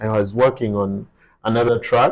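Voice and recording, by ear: At a moderate pace, a man speaks with fairly low pitch and fairly even intonation.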